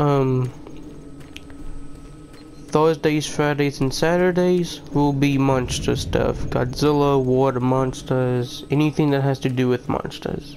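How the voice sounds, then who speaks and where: Over music in the background, a man with a fairly high pitch speaks very slowly in a monotone, flat intonation. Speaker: gaming YouTuber. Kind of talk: casual channel update to viewers.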